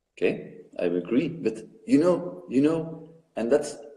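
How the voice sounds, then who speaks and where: Lively intonation from a man with a fairly high pitch, plus audible room echo. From Belgium. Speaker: caller on video conference. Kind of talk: debate. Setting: video conference. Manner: halting, repeating words.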